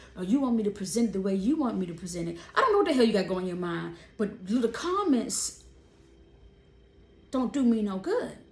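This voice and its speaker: Against noticeable background noise and audible room echo, a woman at medium pitch speaks at a fairly quick pace with long, frequent pauses. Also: lively intonation. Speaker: vlogger. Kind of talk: casual monologue. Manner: animated; loud.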